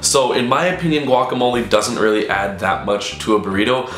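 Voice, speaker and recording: A man talks with ordinary pitch variation, his voice carrying audible room echo over noticeable background noise. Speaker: gaming YouTuber. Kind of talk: casual vlog Q&A. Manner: fast.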